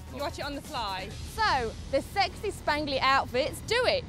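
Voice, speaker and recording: With clear music in the background, a woman with a British accent speaks in very wide pitch swings. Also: dry sound with no echo. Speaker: TV presenter. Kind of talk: street vox pop interviewer, casual. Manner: friendly, chatty. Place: street. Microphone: handheld.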